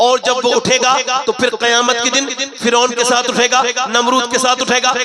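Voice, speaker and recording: A man speaks in a raised, projected voice at an extremely high pitch, with music playing in the background. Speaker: Islamic preacher. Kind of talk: religious sermon to a live gathering. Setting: outdoor religious gathering. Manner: emotional, moving.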